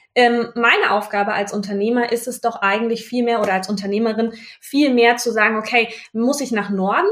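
A woman in a normal speaking voice talks at a fairly quick pace with a fairly high pitch. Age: 30s. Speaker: business owner and university lecturer. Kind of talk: casual interview. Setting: in person, recorded side by side.

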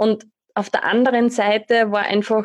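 Against a quiet background, a woman with an Austrian accent speaks at a medium pitch in monotone, flat intonation. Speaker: life coach and trainer. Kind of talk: interview.

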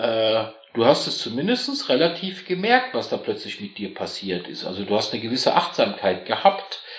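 Noticeable background noise sits under this recording. A man speaks at a moderate pace. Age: 50s. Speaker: corporate employee. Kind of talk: casual chat.

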